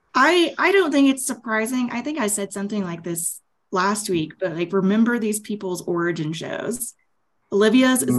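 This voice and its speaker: A woman with an American accent, medium pitch, very wide pitch swings and a moderate pace. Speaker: podcast panellist. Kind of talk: casual chat.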